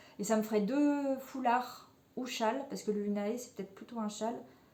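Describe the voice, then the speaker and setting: A woman's fairly high voice with ordinary pitch variation at a fairly slow pace, over noticeable background noise. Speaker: knitting podcaster. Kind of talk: casual chat. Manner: hesitant, many fillers.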